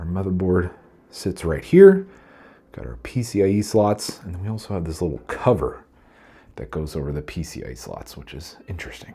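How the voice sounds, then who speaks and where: Speaking at a fairly quick pace, a man with a very deep, low pitch and a dark, mellow tone sounds somewhat breathy, with lively intonation on a very clean recording over a silent background. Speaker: PC hardware reviewer. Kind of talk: product review, ASMR-style walkthrough. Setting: filming handheld with a body gimbal. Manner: soft-spoken.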